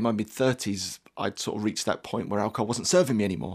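A very fast delivery in a London accent. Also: man, quiet background. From southeast London. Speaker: performance coach. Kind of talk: radio interview. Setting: studio.

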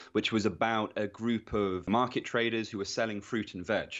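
This man has an ordinary speaking voice, fairly low in pitch. He keeps a moderate pace with fairly even intonation. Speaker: author or historian on measurement. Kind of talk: radio interview.

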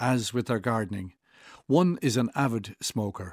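A man speaks with an Irish accent at medium pitch and a moderate pace. The recording is very clean, with a silent background. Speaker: writer. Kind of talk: reading aloud.

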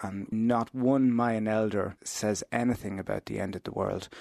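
In a dry, close recording with no echo and a quiet background, a man with an Irish accent speaks at a fairly low pitch in a flat, monotone way. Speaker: interfaith minister. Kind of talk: radio interview.

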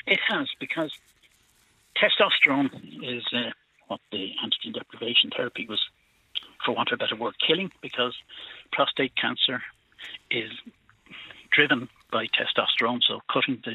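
Here a man speaks with a Cork accent. His pace is moderate. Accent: Irish (Cork). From Ireland. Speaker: prostate cancer survivor, farmer. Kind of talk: phone-in call. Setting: phone call.

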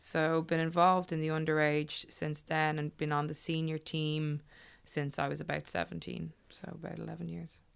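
Very clean recording, silent background, and a woman at a moderate pace. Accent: Dublin. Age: 20s. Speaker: Gaelic football player. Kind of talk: interview.

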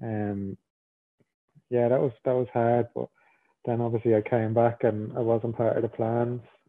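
A man speaks at a moderate pace in a medium pitch, his intonation flat and monotone. Long pauses come often. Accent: Irish. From Ireland. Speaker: professional footballer. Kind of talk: interview.

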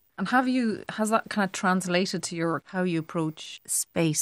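In a Cork accent, a woman talks at a moderate pace with ordinary pitch variation, recorded very cleanly against a silent background with a dry, close sound and no echo. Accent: Cork Irish. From Ireland, Cork city. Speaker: visual artist. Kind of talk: casual chat.

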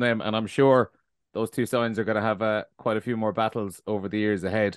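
A man with an Irish accent talks at a fairly quick pace and medium pitch, in a monotone, flat way. The background is quiet, and the sound is dry and close with no echo. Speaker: podcast host. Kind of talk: podcast discussion and interview. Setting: remote call with co-panelists.

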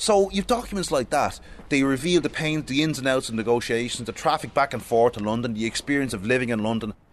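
With an Irish accent, a man talks at a very fast pace in a medium pitch, his intonation lively. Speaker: historian. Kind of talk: guided exhibition tour.

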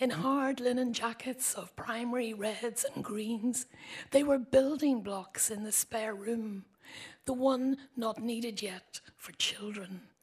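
A woman with a Northern Irish accent, fairly high-pitched and fairly even in intonation, at a very slow pace with big swings in loudness. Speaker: writer reading own poem. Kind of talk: reading aloud poetry.

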